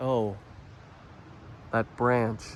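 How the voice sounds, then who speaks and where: This is a man speaking. He talks with a Canadian accent. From Canada. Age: 20s. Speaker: YouTuber renovating a house. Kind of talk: vlog walkthrough narration. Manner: casual, chatty.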